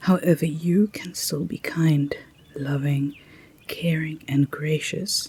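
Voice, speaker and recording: Over noticeable background noise, a soft-spoken voice moves at a very slow pace. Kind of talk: positive affirmations.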